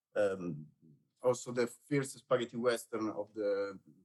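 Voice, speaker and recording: This man has an Italian accent and talks at a fairly slow pace with a medium pitch. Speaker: film producer. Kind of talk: panel discussion. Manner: halting.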